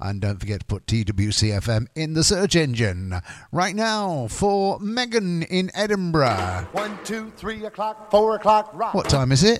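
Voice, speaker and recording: A man with a British accent speaks at a fairly slow pace with hardly any pauses, his high pitch making very wide swings. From UK. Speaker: radio DJ. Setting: radio studio. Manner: relaxed, rambling, frequent uh and um fillers; jokey and giggly, laughs at his own quirky news asides.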